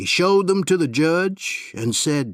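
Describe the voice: A man speaks at a slow pace in a fairly high pitch, his intonation lively.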